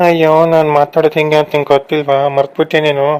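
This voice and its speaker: A soft-spoken, put-on character voice at a moderate pace, sing-song yet with monotone, flat intonation. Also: man, fairly high pitch for a man. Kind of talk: comic cartoon voice acting. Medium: cartoon. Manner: soft, polite, sing-song.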